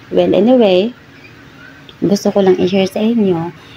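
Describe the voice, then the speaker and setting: A woman talks fairly slowly, with noticeable background noise around her. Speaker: vlogger sharing health experience. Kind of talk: personal vlog testimony. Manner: hesitant, many fillers.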